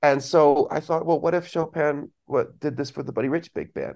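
With an American accent, a man speaks in an unremarkable speaking voice at a fairly high pitch and a moderate pace against a quiet background. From Southern California, then Belgium from age 12. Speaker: saxophonist and composer, music professor. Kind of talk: casual interview chat.

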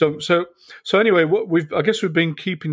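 Pitch variation is ordinary as a man talks in a British accent. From UK. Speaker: podcast host and military veteran. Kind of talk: casual chat.

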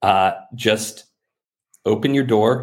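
A man with a fairly low-pitched voice. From rural area. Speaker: entrepreneur, startup founder. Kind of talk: interview conversation.

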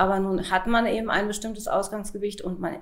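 Audible room echo surrounds a woman talking at a fairly quick pace and a medium pitch. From Lower Saxony, Hanover area. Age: 40s. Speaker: pharmaceutical sales rep and coaching client. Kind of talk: interview testimony.

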